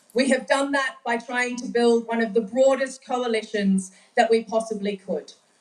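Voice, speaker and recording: A woman speaks in an Australian accent. Her pitch is fairly high and her pace moderate. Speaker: activist, coalition coordinator. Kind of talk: speech to audience. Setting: stage with audience.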